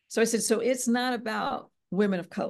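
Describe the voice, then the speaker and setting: A woman with an American accent speaks at a moderate pace. Hers is a normal speaking voice, fairly high in pitch. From US, Philadelphia area, Pennsylvania. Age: 50s. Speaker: podcast host and business professor. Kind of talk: interview, answering questions.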